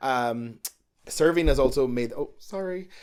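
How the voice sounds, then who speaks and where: This man has an American accent. His pitch varies in an ordinary way. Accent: Irish accent with a California twang. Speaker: drag performer. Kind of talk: casual chat.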